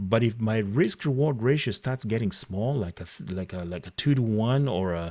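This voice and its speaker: A man with a non-native accent at medium pitch, lively in intonation and hardly pausing, in dry, close sound with no echo. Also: moderate pace. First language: not English. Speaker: trading coach. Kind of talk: live online class. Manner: halting.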